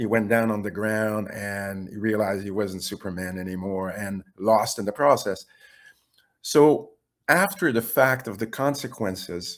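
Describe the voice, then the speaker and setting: A man talks in a French Canadian accent with ordinary pitch variation. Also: fairly low pitch for a man, fairly slow pace. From Quebec. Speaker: webinar participant. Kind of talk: question and answer. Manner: halting.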